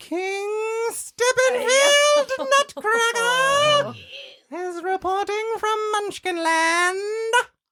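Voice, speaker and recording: A put-on character voice, squeaky and extremely high, shouting at a very slow pace. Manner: yelling proudly.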